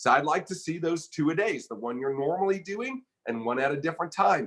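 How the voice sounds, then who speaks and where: A man's fairly high voice at a fairly quick pace. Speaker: online business coach. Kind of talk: live stream coaching talk. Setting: live video broadcast. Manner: fast, somewhat aggressive delivery.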